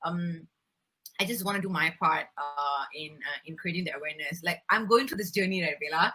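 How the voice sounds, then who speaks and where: A woman with a fairly low pitch speaks at a fairly quick pace over music in the background. Her loudness swings widely. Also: ordinary pitch variation. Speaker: beauty pageant winner and environmental advocate. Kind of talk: interview. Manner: fast.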